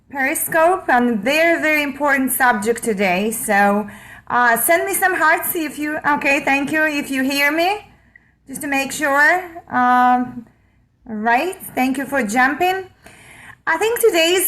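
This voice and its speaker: A woman with a Russian accent, high-pitched, bright and sharp in tone, at a fairly slow pace with lively intonation. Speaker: online marketer. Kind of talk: live stream talk. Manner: halting.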